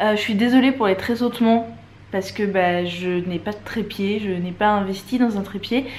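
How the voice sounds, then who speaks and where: A woman speaks at a moderate pace with a medium pitch. Her intonation is fairly even. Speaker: travel vlogger; vlogger. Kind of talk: vlog to camera. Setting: airport and airplane while travelling. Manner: casual, chatty. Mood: warm, grateful, chatty. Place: home room. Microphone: phone near.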